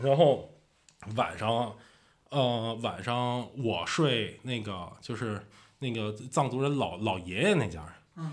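A man with a Beijing accent speaks in an animated tone. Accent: Beijing Mandarin. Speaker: traveler and video creator. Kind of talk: casual storytelling.

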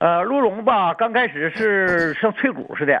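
A man talks in a high voice. His intonation is lively. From Changchun, northeast China. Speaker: deer farmer. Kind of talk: casual chat.

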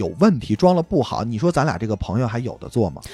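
A man talks with a Beijing accent, with music in the background. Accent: Beijing accent, audible. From Beijing, grew up in the hutongs. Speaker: musician in a band, podcast guest. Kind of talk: casual chat.

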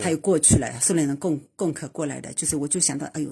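A woman's very deep, low voice with vocal fry and a dark, mellow tone, at a fairly quick pace, in a very clean recording with a silent background. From Zhejiang, Anji. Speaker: podcast listener on tour. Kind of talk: casual chat. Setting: sitting in a small-town bar in Czechia. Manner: halting.

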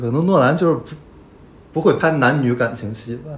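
At a fairly quick pace, a man with a fairly high pitch and ordinary pitch variation speaks in an unremarkable speaking voice. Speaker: film critic guest. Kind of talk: casual film discussion.

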